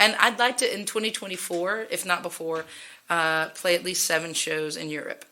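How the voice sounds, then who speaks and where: A woman's fairly low, bright, sharp voice with an American accent, at a moderate pace with ordinary pitch variation. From Texas. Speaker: singer-songwriter, musician. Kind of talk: casual interview chat.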